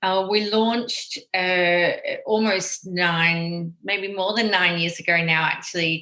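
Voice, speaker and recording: A woman with an Australian accent speaks very slowly at a medium pitch, her bright, sharp tone held at very even loudness and fairly even intonation. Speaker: tech company executive. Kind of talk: radio interview.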